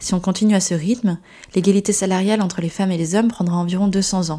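On a very clean recording with a silent background, a woman talks fairly quickly at a medium pitch in a dark, mellow, somewhat breathy tone. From France, Gironde. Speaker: podcast host and company founder. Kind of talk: scripted narration.

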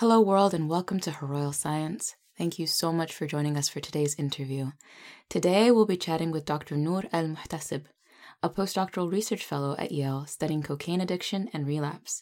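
In a plain, everyday voice, a woman with an American accent speaks fairly quickly with a fairly low pitch and ordinary pitch variation. The recording is very clean, with a silent background. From United States. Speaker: podcast host. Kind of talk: interview; scripted introduction.

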